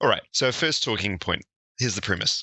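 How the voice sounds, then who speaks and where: A man is speaking. He has a New Zealand accent. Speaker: podcast co-host. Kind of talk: casual discussion podcast. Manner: mellow.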